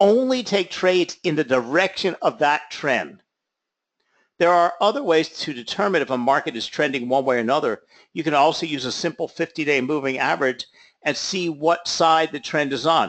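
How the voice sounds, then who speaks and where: With a normal speaking voice and a fairly high pitch, a man talks at a moderate pace with ordinary pitch variation against a quiet background. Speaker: trading educator. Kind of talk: lecture.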